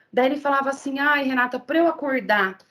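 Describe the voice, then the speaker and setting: A woman speaks in a high pitch. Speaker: sports nutritionist. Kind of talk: lecture. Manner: fast; animated.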